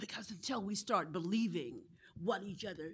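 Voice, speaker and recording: A woman at medium pitch speaks with lively intonation. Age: 60s. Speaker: clergy member. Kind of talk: panel discussion. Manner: impassioned.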